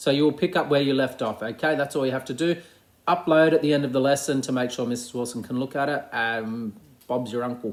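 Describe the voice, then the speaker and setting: A man with an Australian accent, medium pitch, fairly even intonation and a very fast pace. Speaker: primary school teacher. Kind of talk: recorded class update video. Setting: at home.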